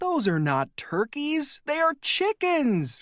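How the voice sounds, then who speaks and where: A put-on character voice is pitched high and delivered at a very slow pace. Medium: read story.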